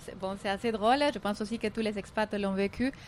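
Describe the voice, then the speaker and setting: In a very clean recording with a silent background, a woman with a Spanish accent speaks at a medium pitch with fairly even intonation. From Colombia. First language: Spanish (speaking French). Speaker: entrepreneur. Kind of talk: interview.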